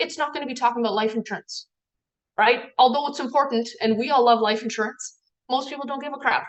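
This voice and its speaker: This woman's voice sits at a fairly high pitch. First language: not English. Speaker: team trainer. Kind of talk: training talk. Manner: casual, filler-heavy.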